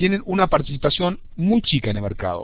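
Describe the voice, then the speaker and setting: Talking at a fairly quick pace with an Argentine accent, a man with a fairly high pitch shows vocal fry and very wide pitch swings. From Argentina. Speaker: university lecturer. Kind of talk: lecture. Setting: video conference. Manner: fast.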